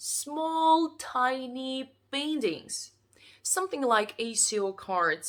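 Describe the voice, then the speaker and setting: Speech comes at a very slow pace with a non-native accent. The pitch swings very widely. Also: woman. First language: not English. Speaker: artist. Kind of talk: casual vlog. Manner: halting.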